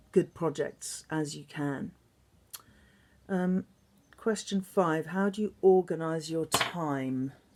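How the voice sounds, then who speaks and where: This woman has an English accent and a fairly low pitch. She speaks very slowly with fairly even intonation. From England. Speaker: singer and songwriter. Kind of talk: recorded interview answers to students.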